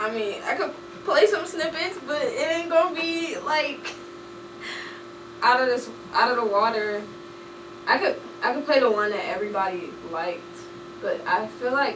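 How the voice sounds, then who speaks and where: A woman with an American accent speaks at a moderate pace and a high pitch, her voice making very wide pitch swings and taking long, frequent pauses, with noticeable background noise and audible room echo. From New Orleans, US South. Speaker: musician. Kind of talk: casual chat.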